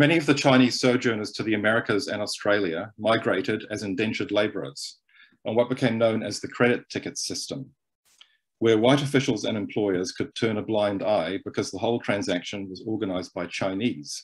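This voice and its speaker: A plain, everyday voice from a man, fairly low in pitch with ordinary variation, fairly quick, against a quiet background. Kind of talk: lecture. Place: home room. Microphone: webcam.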